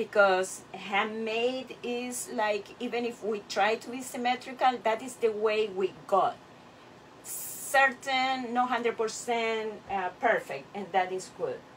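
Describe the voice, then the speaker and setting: A woman at a very slow pace, with big swings in loudness and ordinary pitch variation, over light background noise. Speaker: clay artist teacher. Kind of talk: tutorial. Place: workshop. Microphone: camera far.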